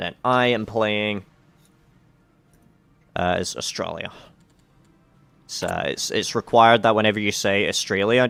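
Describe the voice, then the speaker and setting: Music plays in the background as a man speaks at a fairly low pitch and a moderate pace, with ordinary pitch variation. He leaves long, frequent pauses. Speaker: multiplayer strategy game player. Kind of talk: informal, profane. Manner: casual, rambling, swears freely.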